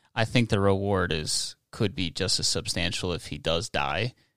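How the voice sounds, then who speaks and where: On a very clean recording with a silent background and dry, close sound with no echo, a man speaks at a very deep, low pitch with a bright, sharp tone and ordinary pitch variation. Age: 20s. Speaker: podcast host. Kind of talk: casual chat.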